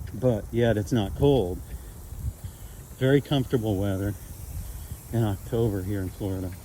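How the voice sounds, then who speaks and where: A man speaks at a moderate pace in a somewhat breathy, dark, mellow tone, fairly low in pitch with ordinary pitch variation and long, frequent pauses. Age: 60s. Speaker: fitness vlogger. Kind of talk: casual vlog talk while walking. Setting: outdoors. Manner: hesitant, with fillers.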